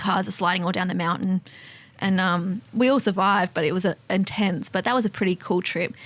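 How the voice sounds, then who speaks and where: With an Australian accent, a woman talks at a fairly quick pace and medium pitch with fairly even intonation. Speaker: fuel tanker driver and motorcycle enthusiast. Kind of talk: casual chat.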